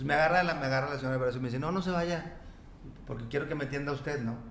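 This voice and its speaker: A man with a Mexican accent talks at a very fast pace and a fairly high pitch, with fairly even intonation. Noticeable background noise and audible room echo surround him. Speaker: notary. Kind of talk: casual chat.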